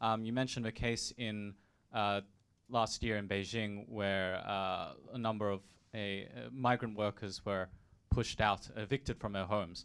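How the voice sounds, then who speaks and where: In a very clean recording with a silent background, a man with an ordinary speaking voice talks at a moderate pace, fairly low in pitch and with fairly even intonation. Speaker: audience member asking question.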